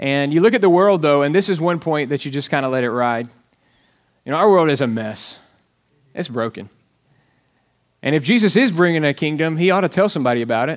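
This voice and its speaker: On a very clean recording with a silent background, a man with a Southern US accent talks at a fairly quick pace, using lively intonation and long, frequent pauses. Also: fairly high pitch for a man. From Alabama. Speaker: pastor. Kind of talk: sermon. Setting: church.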